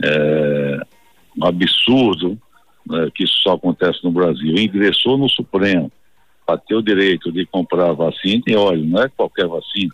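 A man speaks at a moderate pace. His very deep, low pitch has ordinary variation. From Bahia, Brazil (Campo Formoso, then Salvador). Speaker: state politician. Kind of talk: broadcast interview.

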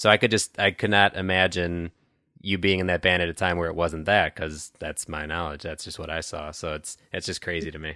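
A man with a Midwestern US accent, very deep and low in pitch, fairly quick in pace, bright and sharp in tone, with fairly even intonation and big swings in loudness, in a dry, close sound with no echo over a quiet background. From Chicago suburbs, US Midwest. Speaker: podcast host. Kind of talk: casual interview conversation. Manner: casual, friendly.

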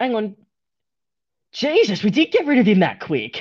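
With an Australian accent, a man speaks at a high pitch and a fairly slow pace. His intonation is lively, and the background is quiet. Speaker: podcast host. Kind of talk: casual chat.

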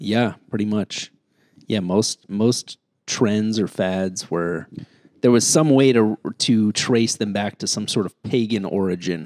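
A man speaks at a very slow pace in a fairly low pitch, with ordinary pitch variation. The sound is dry and close, with no echo. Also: very clean recording, silent background. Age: 40s. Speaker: comedian. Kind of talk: casual chat.

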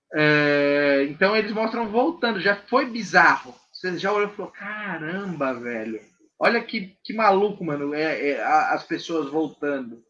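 Pitched high and swinging very widely, a man's voice moves at a fairly slow pace with hardly any pauses. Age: 20s. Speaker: podcast co-host. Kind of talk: casual chat.

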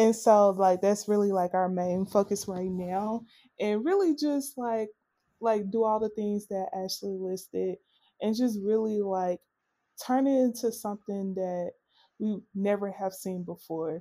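In a very clean recording with a silent background, a woman with a Southern US accent speaks at a fairly slow pace in a dark, mellow tone. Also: medium pitch for a woman, fairly even intonation. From US South, Arkansas. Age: 30s. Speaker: natural hair brand co-runner. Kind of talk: casual interview.

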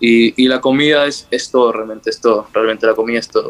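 In a flat monotone, a man rattles off words at a very fast pace with a medium pitch. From northern Peru highlands (Cajamarca / La Libertad). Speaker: footballer. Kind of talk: interview.

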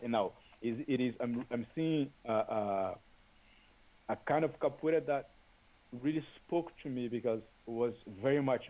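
A man with a Brazilian accent speaks at a fairly slow pace, leaving long, frequent pauses. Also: medium pitch for a man, ordinary pitch variation. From Brazil, Salvador, Bahia. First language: Portuguese. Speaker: capoeira teacher. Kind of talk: interview.

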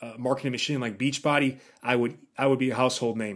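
His pitch shows ordinary variation. The man's voice sits at a medium pitch. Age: 40s. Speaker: fitness podcast host and former magazine fitness director. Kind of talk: solo podcast monologue. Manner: halting, many fillers and repeated words.

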